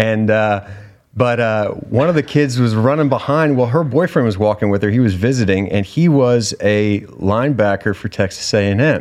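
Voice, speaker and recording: Man, an ordinary speaking voice, pitched at a medium level, with ordinary pitch variation at a moderate pace. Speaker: survival show contestant. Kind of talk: casual interview chat. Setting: studio.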